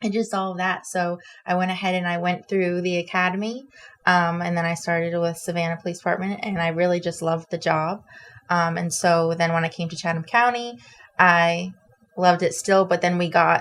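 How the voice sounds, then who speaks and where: In a normal speaking voice, a woman talks at a fairly low pitch. She moves at a fairly quick pace with fairly even intonation. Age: 20s. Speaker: police officer. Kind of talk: interview.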